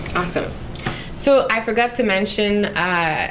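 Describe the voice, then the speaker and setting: A woman with a Quebec accent speaks at a fairly high pitch over noticeable background noise. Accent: Québécois French accent in English. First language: French. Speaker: public relations manager hosting a live Q&A. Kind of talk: casual live interview. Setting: creation room, live stream. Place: meeting room. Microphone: handheld.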